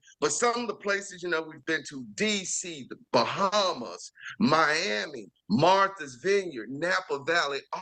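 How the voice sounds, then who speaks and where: Against a quiet background, a man with a strong Southern US accent speaks at a fairly slow pace in a raised, projected voice, high-pitched, with an animated, bright, sharp tone and lively intonation. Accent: heavy Southern US. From Chicago. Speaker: chef and TV series host. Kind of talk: interview.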